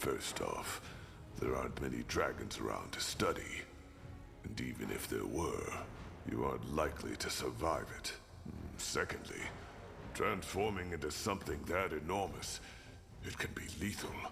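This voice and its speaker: A man does a put-on character voice at a moderate pace, breaking often with long pauses over loud background noise. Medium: video game. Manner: blunt, dry.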